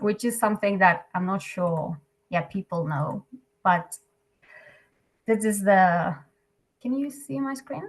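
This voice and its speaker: With long, frequent pauses, a woman speaks at a fairly slow pace in a somewhat breathy, medium-pitched voice with lively intonation. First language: Catalan. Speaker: NGO program staff presenting. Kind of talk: webinar presentation. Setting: video call. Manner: hesitant, filler-heavy.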